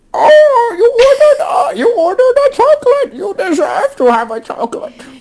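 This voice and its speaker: A man's put-on character voice at an extremely high pitch, fairly slow yet with hardly any pauses. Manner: doing a real impression of her.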